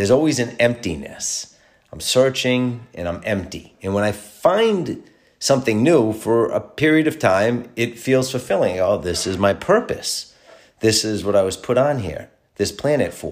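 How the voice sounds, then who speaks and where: The man has a normal speaking voice at medium pitch. He moves at a moderate pace with lively intonation. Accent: American. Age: 40s. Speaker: podcast host. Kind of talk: solo monologue podcast.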